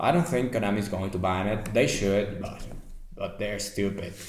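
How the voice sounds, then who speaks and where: A man with a non-native accent speaks in a fairly low voice. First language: non-native English speaker. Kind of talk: casual deck explanation to camera.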